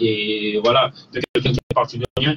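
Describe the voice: The voice has a fairly bright tone with a slightly husky edge, fairly even intonation and a fairly quick pace. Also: man, medium pitch for a man.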